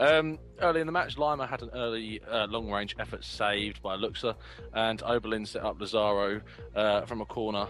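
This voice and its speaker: Over music in the background, a man with a medium pitch speaks with lively intonation. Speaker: football podcast co-host. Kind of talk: casual podcast chat, match report segment.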